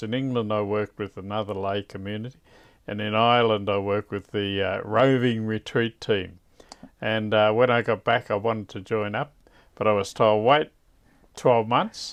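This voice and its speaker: With fairly even intonation and a medium pitch, a man delivers his words at a moderate pace. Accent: Australian. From Australia, Victoria (Koroit). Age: 60s. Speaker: religious brother. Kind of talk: interview.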